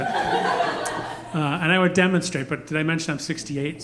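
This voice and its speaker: Audible room echo surrounds a man speaking at a fairly high pitch with ordinary pitch variation. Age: 60s. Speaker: stand-up comedian. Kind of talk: stand-up. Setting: stage with audience.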